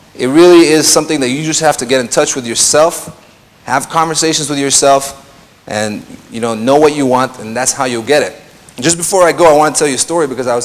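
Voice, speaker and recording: A fairly high-pitched male voice at a very fast pace, fairly even in intonation, with noticeable background noise. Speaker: DJ and radio and TV presenter giving a talk. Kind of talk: conference talk. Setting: stage with audience. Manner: casual, hesitant with fillers.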